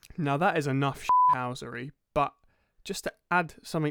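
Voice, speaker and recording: Heard on a very clean recording with a silent background and a dry, close sound with no echo, the speaker has a southern English accent and a moderate pace. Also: man. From southern England (Crawley, West Sussex). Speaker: podcast co-host. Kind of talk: casual chat.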